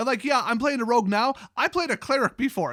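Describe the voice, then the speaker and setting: Bright and sharp in tone, an animated man with a Wisconsin accent talks at a fairly quick pace with ordinary pitch variation in a very clean recording with a silent background. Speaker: card game YouTuber. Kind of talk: commentary review reading lore.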